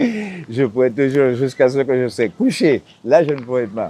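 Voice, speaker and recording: A man at medium pitch, fairly slow, with lively intonation. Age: 60s. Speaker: islander living off the land. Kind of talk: interview.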